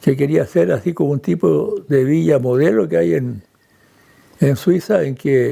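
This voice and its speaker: The man's tone is dark and mellow, his pitch fairly high. He speaks at a very slow pace. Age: 80s+. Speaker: descendant of Swiss settlers. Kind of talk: interview testimony.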